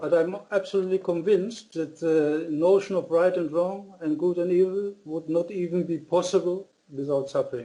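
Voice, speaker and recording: A man with a German accent, high-pitched yet dark and mellow in tone, at a moderate pace with fairly even intonation and hardly any pauses. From Germany (born in Austria). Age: 60s. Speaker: author. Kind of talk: interview. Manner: halting.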